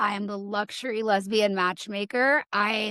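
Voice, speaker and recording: The sound is dry and close, with no echo. A woman with an American accent speaks at a fairly high pitch. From US South. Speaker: matchmaker. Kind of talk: casual chat.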